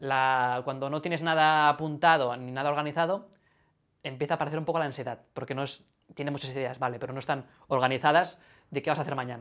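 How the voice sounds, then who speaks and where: Words tumble out at a very fast pace in a very clean recording with a silent background. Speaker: YouTuber. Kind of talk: interview. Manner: clear, projected voice.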